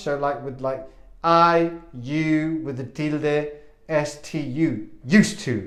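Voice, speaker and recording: There is audible room echo around a man's fairly high voice. His pitch variation is ordinary. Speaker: English teacher. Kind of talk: language lesson.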